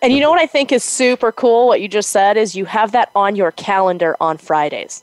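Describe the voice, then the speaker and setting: At a fairly quick pace, a woman with a fairly high pitch speaks with lively intonation and an ordinary speaking voice. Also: dry, close sound with no echo. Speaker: podcast co-host. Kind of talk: casual chat.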